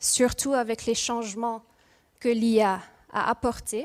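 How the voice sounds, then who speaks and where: A woman with a Mauritian accent speaks at a fairly slow pace, her fairly high voice keeping fairly even intonation. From Mauritius, moved to Ghent, Belgium at 3-4. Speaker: industrial psychologist, speaker. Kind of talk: conference talk. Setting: stage with audience. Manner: hesitant, with fillers.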